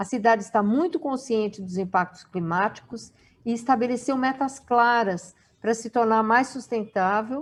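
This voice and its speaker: A woman in a plain, everyday voice, fairly high in pitch, with ordinary pitch variation and a moderate pace. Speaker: webinar moderator. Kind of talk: reading aloud; event moderation.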